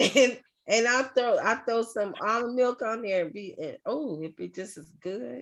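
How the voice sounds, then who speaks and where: A woman speaks in an ordinary speaking voice, fairly high in pitch with ordinary pitch variation and a fairly slow pace. Her loudness swings widely against a quiet background. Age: 60s. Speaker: group facilitator. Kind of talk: casual chat.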